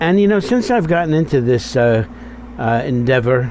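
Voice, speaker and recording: A man talks at a moderate pace, with noticeable background noise in the recording. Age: 70s. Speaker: doo-wop radio DJ. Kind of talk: radio DJ show.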